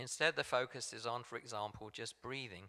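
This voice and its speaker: A man's bright, sharp voice at a fairly quick pace, in an English accent. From England. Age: 60s. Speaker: meditation group facilitator. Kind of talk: talk at a church service. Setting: church sanctuary, also streamed on video call. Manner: hesitant, with frequent ums and repeats.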